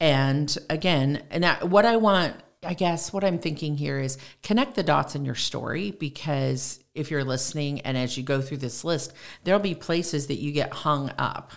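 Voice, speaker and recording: Her pitch is very deep and low for a woman. She speaks at a moderate pace with ordinary pitch variation. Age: 60s. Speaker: church member and farmer's wife. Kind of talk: casual chat about scripture.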